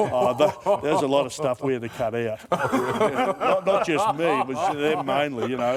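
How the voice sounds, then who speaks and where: A man with an Australian accent speaks with lively intonation. Noticeable background noise is present. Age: 60s. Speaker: former rugby league player and radio host. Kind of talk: casual chat.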